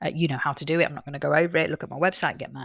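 Someone speaks in a British accent on a very clean recording with a silent background. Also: woman. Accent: British English, noticeable. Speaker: podcast host and author reading own book. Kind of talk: reading aloud from own book with casual asides. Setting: home desk with laptop and head mic. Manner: calm, soothing; unedited, natural with fillers.

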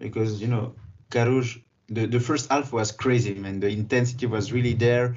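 A man speaks with medium pitch and fairly even intonation. His voice is somewhat breathy, at a moderate pace. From Geneva, Switzerland. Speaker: football podcast co-host. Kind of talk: casual football discussion.

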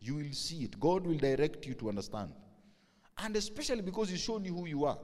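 The speech is very fast, in a Kenyan accent. Pitch swings very widely. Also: man, fairly high pitch for a man. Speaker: pastor. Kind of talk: sermon. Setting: church. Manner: loud.

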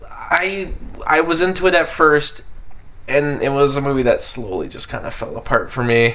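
Noticeable background noise runs behind this recording. A man speaks at a moderate pace. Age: 20s. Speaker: film podcast host. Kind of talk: casual chat.

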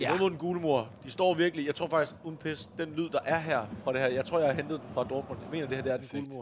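A fairly high male voice at a very fast pace. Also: big swings in loudness. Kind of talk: casual podcast banter, then play-by-play match commentary in the game segment. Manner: excitable, shouting, rising to a roar at the goal.

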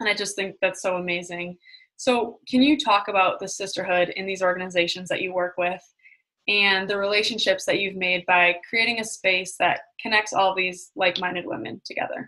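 With a bright, sharp tone, a woman speaks at a medium pitch and in fairly even intonation. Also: moderate pace. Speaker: podcast host. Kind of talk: casual interview chat.

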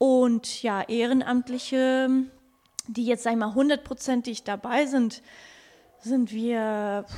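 A woman with a high pitch and a dark, mellow tone speaks at a very slow pace. Her intonation is a flat monotone, with long, frequent pauses. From Canary Islands (La Gomera), German parents. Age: 30s. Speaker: animal shelter volunteer. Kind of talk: interview. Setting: animal shelter surrounded by cats.

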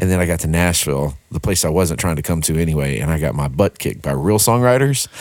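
A man's very deep, low voice with a Texan accent, very fast and lively in intonation, with hardly any pauses and noticeable background noise. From Texarkana, Texas. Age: 40s. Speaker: worship pastor and songwriter. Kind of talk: casual interview.

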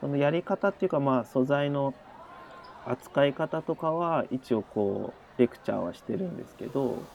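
A plain, everyday voice at a moderate pace comes through with a dry, close sound with no echo. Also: man, fairly high pitch for a man, ordinary pitch variation. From Japan, Shizuoka. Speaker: art lecturer. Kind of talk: casual interview.

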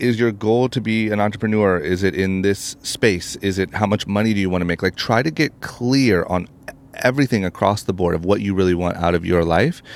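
This man has an unremarkable speaking voice, fairly low in pitch, with ordinary pitch variation. He talks at a fairly quick pace and his loudness stays very even. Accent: American. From Ohio, US Midwest. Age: 30s. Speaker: entrepreneur and podcast host. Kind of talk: interview conversation.

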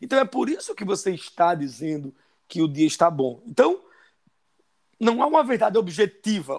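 Pitched high, a man's voice swings very widely in pitch and breaks into long, frequent pauses. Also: moderate pace. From Brazilian Northeast, sertão of Paraíba. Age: 50s. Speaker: podcast co-host. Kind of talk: casual chat.

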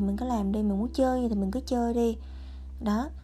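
This woman's tone is dark and mellow. She speaks at a fairly quick pace. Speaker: podcast host. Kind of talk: personal monologue. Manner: casual chatty.

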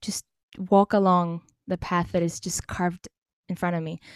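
A woman's voice with a dry, close sound and no echo. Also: very clean recording, silent background. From Cyprus. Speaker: singer-songwriter and vocal teacher. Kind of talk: casual interview.

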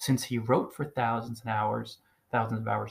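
A man with an American accent, medium in pitch, flat and monotone with vocal fry, on a very clean recording with a silent background. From US, New Jersey. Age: 40s. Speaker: blogging coach, podcaster. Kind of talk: solo monologue, advice podcast. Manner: emphatic, repetitive.

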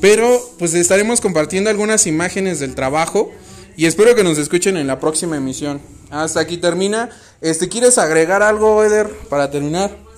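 A man speaks at a fairly quick pace in a high voice with an animated tone and ordinary pitch variation, over noticeable background noise. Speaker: podcast host. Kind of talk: casual chat.

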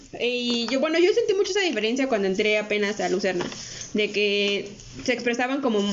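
A woman talks at a fairly quick pace with very even loudness and ordinary pitch variation, amid audible room echo and noticeable background noise. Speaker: podcast co-host. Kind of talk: casual chat.

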